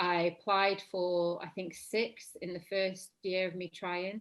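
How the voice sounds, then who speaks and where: This woman speaks at a medium pitch with a Lancashire accent. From northern England, Blackburn, Lancashire. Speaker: actress. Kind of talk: casual chat.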